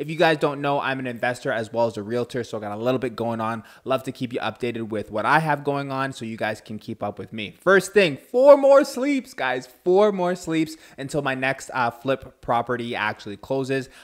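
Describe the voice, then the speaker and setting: Energetic and fairly quick, a man speaks at medium pitch with ordinary pitch variation and hardly any pauses. The recording is very clean with a silent background. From Canada, Ontario (Durham Region). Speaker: realtor and podcast host. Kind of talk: podcast monologue.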